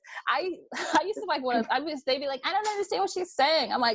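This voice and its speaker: A woman speaks loudly and very fast in an animated tone, her pitch swinging very widely. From New York, Brooklyn. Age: 30s. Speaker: reality TV personality and model. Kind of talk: casual chat. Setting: video call.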